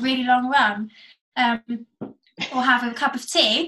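With an English accent, a woman projects her raised voice at a high pitch, her tone bright and sharp and her pitch varying in an ordinary way. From England, seaside. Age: 20s. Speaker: amateur runner. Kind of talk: casual interview.

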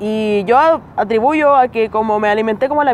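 A woman talks in a Chilean accent. Noticeable background noise runs behind her. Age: 20s. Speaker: comedian. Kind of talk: casual chat. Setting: outdoors.

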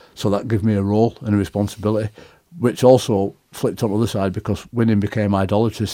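A man with a Yorkshire accent speaks at a fairly quick pace in a fairly low pitch with a dark, mellow tone and fairly even intonation. The recording is very clean, with a silent background. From northern England, Leeds. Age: 40s. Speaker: rugby league coach and former player. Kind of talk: interview. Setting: studio.

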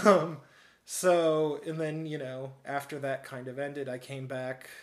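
Speaking with a Midwestern US accent, a man uses a fairly high pitch and fairly even intonation. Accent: US Midwest. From Peoria, Illinois. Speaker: activist and journalist. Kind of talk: casual interview.

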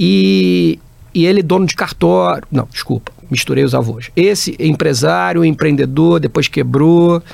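A man's fairly slow speech, with very even loudness and very wide pitch swings. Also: medium pitch for a man. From interior of Rio de Janeiro state (Barra Mansa). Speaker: business executive. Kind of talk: interview.

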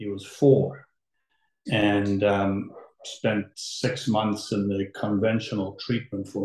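In a somewhat breathy voice, a man talks with monotone, flat intonation. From South Africa, moved to Toronto as a child. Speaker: litigation lawyer. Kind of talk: interview.

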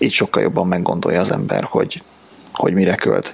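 A man talks fairly quickly, with background noise noticeable throughout. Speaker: IT professional, podcast co-host. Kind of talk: casual chat.

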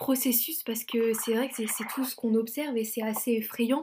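A woman at a moderate pace, her pitch fairly high and her intonation monotone and flat, over noticeable background noise. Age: 20s. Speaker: student podcast host. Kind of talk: interview podcast.

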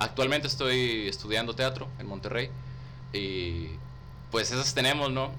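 A man at medium pitch, fairly slow, with ordinary pitch variation and long, frequent pauses, amid noticeable background noise and audible room echo. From Tamaulipas, northern Mexico. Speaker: rapper and theatre student. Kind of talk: casual chat.

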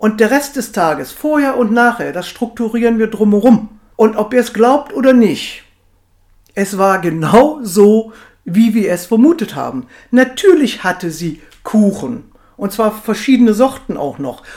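A woman with an unremarkable speaking voice speaks at a fairly slow pace, her fairly high pitch rising and falling in lively intonation. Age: 50s. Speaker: weight management coach. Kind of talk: podcast monologue.

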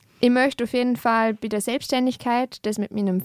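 In a very clean recording with a silent background and a dry, close sound with no echo, a woman uses a normal speaking voice at a moderate pace with fairly even intonation. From Austria, Vorarlberg (Lustenau). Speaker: peace and conflict researcher. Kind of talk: interview conversation.

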